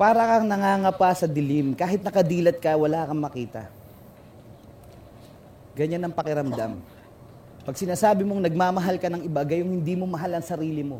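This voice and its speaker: A high-pitched man talks at a fairly quick pace with ordinary pitch variation, broken by long, frequent pauses. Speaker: spoken word poet. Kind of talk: freestyle spoken word performance. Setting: live stage performance.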